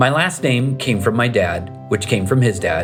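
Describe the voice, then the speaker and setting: Music plays in the background as a man talks at a moderate pace. His medium-pitched voice has lively intonation. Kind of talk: family history narration.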